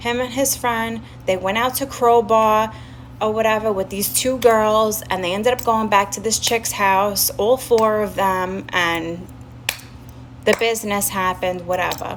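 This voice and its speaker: A woman with a fairly high pitch speaks at a fairly slow pace and with fairly even intonation amid noticeable background noise. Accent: strong New York. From Staten Island, New York. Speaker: live streamer. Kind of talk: casual storytelling on a livestream. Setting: live stream with chat.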